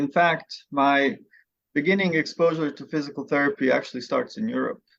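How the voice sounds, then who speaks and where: With a Bosnian accent, a man talks at a fairly quick pace in a fairly high pitch and ordinary pitch variation. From Bosnia, Sarajevo. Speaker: physical therapy professor. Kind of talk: podcast interview.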